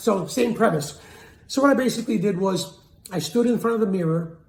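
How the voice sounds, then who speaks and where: An energetic man at a fairly quick pace, with ordinary pitch variation and audible room echo. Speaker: sales and communication coach. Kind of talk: motivational talk to camera.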